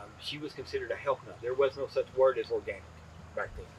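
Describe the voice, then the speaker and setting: Noticeable background noise fills the recording. Over it, a man talks. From East Tennessee, Appalachia. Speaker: farmer. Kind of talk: interview answer. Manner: casual, storytelling. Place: farm machine. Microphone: lapel.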